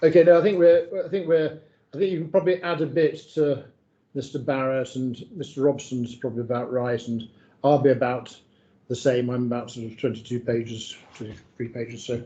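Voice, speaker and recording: The speaker talks at a fairly quick pace with a dark, mellow tone and ordinary pitch variation. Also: man, medium pitch for a man. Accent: northern English. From northern England. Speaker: barrister. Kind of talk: legal inquiry discussion.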